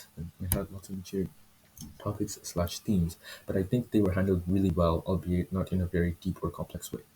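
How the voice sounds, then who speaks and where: A quiet, somewhat breathy male voice, very deep and low, dark and mellow in tone, with fairly even intonation at a very fast pace on a very clean recording with a silent background. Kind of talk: manga review talk to camera. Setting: poor home microphone. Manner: hesitant, stumbling, self-correcting.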